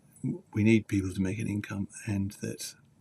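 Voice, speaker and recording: A man's fairly low, somewhat breathy voice with a dark, mellow tone, a British accent, fairly even intonation and a fairly slow pace. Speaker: journalist and teacher. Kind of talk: live stream talk.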